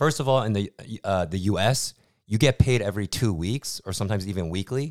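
A man with an American accent and a plain, everyday voice speaks at a fairly quick pace and fairly low pitch, with ordinary pitch variation, on a very clean recording with a silent background. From US, New York. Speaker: podcast co-host. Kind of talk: casual chat.

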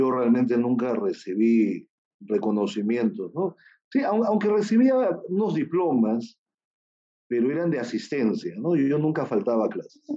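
Moving at a fairly slow pace, a man lets his pitch swing very widely. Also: medium pitch for a man. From Peru. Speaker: surgeon and charity founder. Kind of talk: interview.

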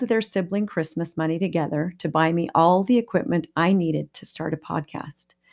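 In a very clean recording with a silent background, a woman talks in an unremarkable speaking voice. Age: 50s. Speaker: podcast host and counselor. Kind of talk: solo podcast monologue.

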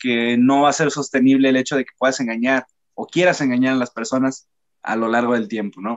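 A man with a normal speaking voice talks at a medium pitch and a moderate pace. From northern Mexico. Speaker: podcast co-host. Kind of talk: casual chat.

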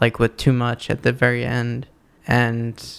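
This man has a normal speaking voice at a medium pitch. He keeps a moderate pace. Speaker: podcast host. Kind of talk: casual banter.

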